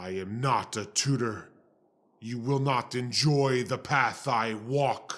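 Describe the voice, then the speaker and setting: Over a silent background in a very clean recording, a man uses a put-on character voice at a medium pitch and a fairly slow pace. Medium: audio drama. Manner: grave, formal, measured.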